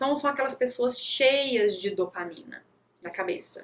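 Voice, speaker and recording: Her voice is high-pitched with lively intonation as this woman talks at a fairly slow pace. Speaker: nutritionist. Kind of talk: live talk. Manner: animated.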